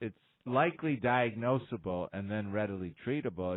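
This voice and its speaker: With ordinary pitch variation, a man speaks at a moderate speed. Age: 60s. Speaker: radio host and orthopedic doctor. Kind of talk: call-in radio advice show. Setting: radio studio. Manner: halting, many fillers.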